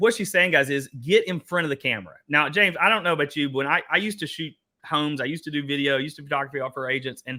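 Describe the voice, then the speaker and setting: A man with an Eastern Kentucky accent, animated and bright, sharp in tone, at a very fast pace. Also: fairly high pitch for a man, ordinary pitch variation, hardly any pauses. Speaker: workshop host, real estate coach. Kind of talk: online workshop discussion.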